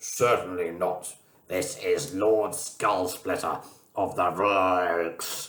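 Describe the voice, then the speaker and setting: Put-on character voice from a man, very deep and low, delivered very slowly. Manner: pompous, imposing.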